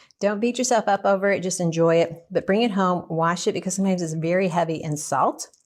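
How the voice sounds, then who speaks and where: At a very fast pace, a woman of medium pitch speaks with a Southern US accent and ordinary pitch variation. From US South. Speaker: nutritionist and cooking teacher. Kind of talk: cooking tutorial. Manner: casual, conversational.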